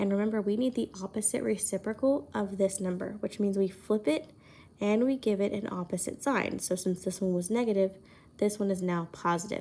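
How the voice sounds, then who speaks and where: A woman speaks quietly at a fairly quick pace. Her tone is dark and mellow, with ordinary pitch variation. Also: medium pitch for a woman. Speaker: high school math teacher. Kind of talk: recorded lesson for students.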